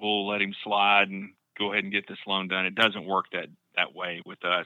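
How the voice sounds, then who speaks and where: A man with an Arkansas accent, fairly low-pitched, at a moderate pace. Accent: Southern US (Arkansas). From South Arkansas (Camden). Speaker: mortgage loan officer. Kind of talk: casual interview.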